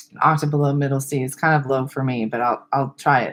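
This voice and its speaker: In a monotone with flat intonation, a woman speaks at a very deep, low pitch. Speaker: speech-language pathologist. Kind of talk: webinar lecture. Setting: webcam. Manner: loud.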